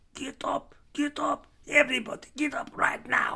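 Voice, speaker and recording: A put-on character voice bellows at a high pitch, raspy and at a moderate pace. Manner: bellowing, commanding.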